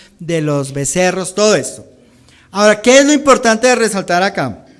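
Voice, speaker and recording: A man speaks at a moderate pace. He has a Bogotá accent. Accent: Bogotá Colombian accent, unchanged. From Colombia, Bogotá. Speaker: pastor. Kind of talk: sermon.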